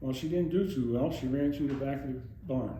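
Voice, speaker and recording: Heard with audible room echo, a man with an American accent speaks at a moderate pace and medium pitch, his pitch varying in an ordinary way. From US Northeast, Monroe County, Pennsylvania. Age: 80s+. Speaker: oral history interviewee, retired police officer. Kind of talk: oral history interview. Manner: conversational, rambling with false starts.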